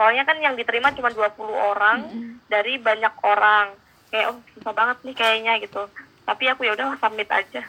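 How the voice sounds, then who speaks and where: A woman's normal speaking voice, fairly high in pitch, at a fairly quick pace with fairly even intonation. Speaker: exchange student and marketing intern. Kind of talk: casual interview.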